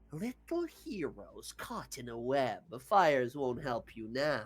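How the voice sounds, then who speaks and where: In a put-on character voice, the speaker cackles with a menacing tone at a very slow pace. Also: man. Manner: cackling, menacing, gloating.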